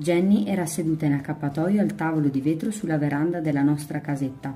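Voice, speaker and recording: With music in the background, a woman with a very deep, low pitch speaks at a moderate pace and ordinary pitch variation. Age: 20s. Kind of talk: audiobook reading.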